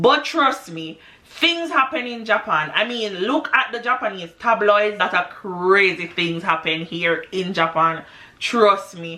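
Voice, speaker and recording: A woman speaks at a medium pitch with very wide pitch swings. Noticeable background noise can be heard. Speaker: English teacher in Japan. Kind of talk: casual talk to camera.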